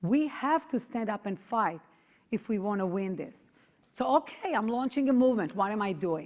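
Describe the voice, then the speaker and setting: A woman's fairly high voice with an Israeli accent and lively intonation. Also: moderate pace. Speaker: activist, founder of parents' movement. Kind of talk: speech to audience.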